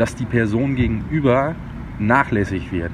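A man's medium-pitched voice at a fairly slow pace, with ordinary pitch variation and noticeable background noise. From Sauerland, Germany (Brilon area). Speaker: chef. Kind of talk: interview. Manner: halting.

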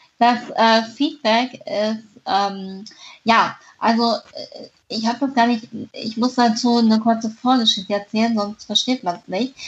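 Fairly slow and fairly high in pitch, a woman speaks in a plain, everyday voice. Her intonation is fairly even. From northern Hesse, Germany (near Kassel). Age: 20s. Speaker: author with a congenital heart defect. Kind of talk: interview.

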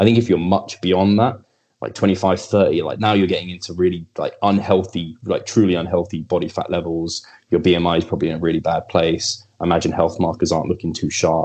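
A man with an English accent, very deep and low in pitch, speaking at a fairly quick pace with fairly even intonation. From England. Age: 30s. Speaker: bodybuilder.

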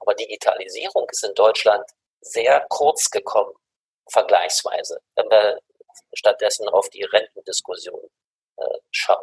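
An extremely high-pitched man's voice, fairly slow and fairly even in intonation, with long, frequent pauses and a dry, close sound with no echo. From Germany. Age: 60s. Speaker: mediation expert and university head. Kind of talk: interview.

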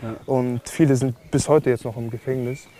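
Amid noticeable background noise, a man speaks with monotone, flat intonation. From Germany. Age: 20s. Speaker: professional boxer. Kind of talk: casual chat.

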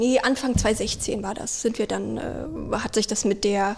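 With a slight Thuringian accent, a woman speaks in a fairly high pitch with vocal fry. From Thüringen, Germany. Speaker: hotel reservations employee. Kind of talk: casual interview chat. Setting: hotel suite.

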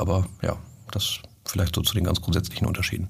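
A man talks at a very fast pace. His voice is very deep and low, and somewhat breathy. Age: 30s. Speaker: sales manager. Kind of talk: casual chat.

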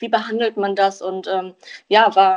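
A woman at medium pitch, very slow and monotone, with flat intonation. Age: 20s. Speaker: hearing aid acoustician. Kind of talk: interview. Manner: hesitant with fillers.

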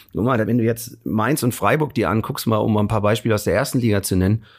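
This man talks at a very fast pace. His fairly low voice is somewhat breathy. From Hesse, Germany. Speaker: comedian. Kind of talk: casual chat. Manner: animated.

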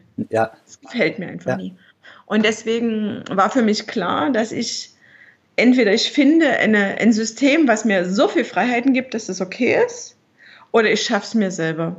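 Speaking at a moderate pace, a woman with a fairly high pitch and a somewhat breathy voice uses lively intonation. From Dresden area, Saxony (East Germany). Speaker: entrepreneur and mother. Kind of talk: interview.

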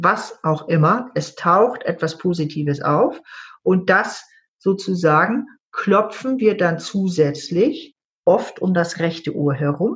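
Somewhat breathy and fairly low-pitched, a woman talks at a very slow pace. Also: lively intonation. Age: 60s. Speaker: EFT trainer and coach. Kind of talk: interview. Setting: online call.

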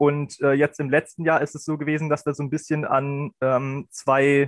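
The sound is dry and close, with no echo. A man with a fairly high pitch speaks in a monotone, flat way. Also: quiet background. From Lower Saxony, Germany (Helmstedt district). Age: 20s. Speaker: student volunteer. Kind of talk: casual chat.

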